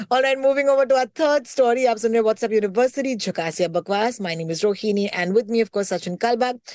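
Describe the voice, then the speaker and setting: A woman with a fairly high pitch and ordinary pitch variation speaks in an animated tone, the sound dry and close with no echo. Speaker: radio host and podcast co-host. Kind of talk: casual chat.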